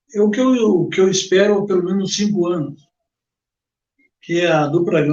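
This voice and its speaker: A man's high-pitched voice at a moderate pace. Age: 70s. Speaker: sports radio commentator. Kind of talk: interview. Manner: halting, repeats words.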